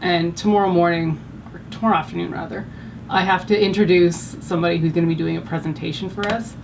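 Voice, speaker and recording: With a Canadian accent, a woman speaks at a fairly quick pace over noticeable background noise. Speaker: beauty vlogger. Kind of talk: makeup tutorial chat. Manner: loud; casual, animated.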